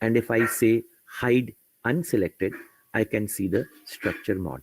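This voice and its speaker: Dry and close with no echo, a man's medium-pitched voice moves at a fairly slow pace with lively intonation. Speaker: software trainer. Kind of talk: tutorial.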